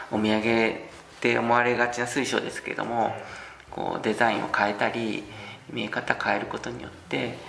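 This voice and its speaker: In a room with audible echo and noticeable background noise, a man speaks at a fairly quick pace with fairly even intonation. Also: medium pitch for a man. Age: 40s. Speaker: traditional gemstone carver. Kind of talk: casual interview.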